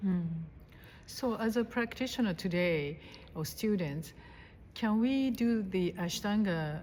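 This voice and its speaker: Speaking at a very slow pace with long, frequent pauses, a woman sounds somewhat breathy, her intonation lively. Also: medium pitch for a woman. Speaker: interviewer, yoga host. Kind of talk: interview questions.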